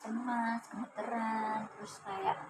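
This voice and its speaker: A woman speaks very slowly in a fairly high pitch. Noticeable background noise runs underneath. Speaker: university student, counseling client. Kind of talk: counseling session role-play. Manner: hesitant, many fillers.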